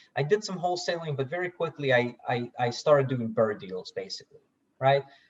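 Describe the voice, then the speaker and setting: A somewhat breathy man with a fairly high pitch talks at a fairly quick pace with lively intonation. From Russia, moved to US 1992. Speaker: software founder and real estate investor. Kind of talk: podcast interview. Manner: repeats words, stammering starts.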